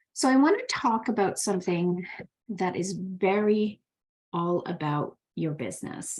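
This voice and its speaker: The speech unfolds at a very slow pace with ordinary pitch variation. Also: woman. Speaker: spiritual business mentor. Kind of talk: live stream talk.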